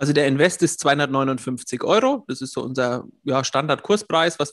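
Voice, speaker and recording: A man with a plain, everyday voice speaks at a fairly high pitch with ordinary pitch variation. The background is quiet, and the sound is dry and close with no echo. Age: 40s. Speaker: system administrator and YouTube coach. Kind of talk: interview.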